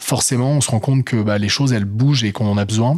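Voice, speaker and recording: An unremarkable speaking voice from a man, fairly low in pitch, fairly quick, with ordinary pitch variation. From northern France, Lille area. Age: 30s. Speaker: entrepreneur, co-founder. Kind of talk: interview.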